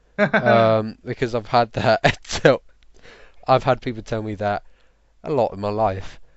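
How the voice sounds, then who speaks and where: Speaking with a British accent, a man keeps a medium pitch and fairly even intonation at a fairly slow pace, with long, frequent pauses. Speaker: podcast host. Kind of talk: casual chat. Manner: hard to understand.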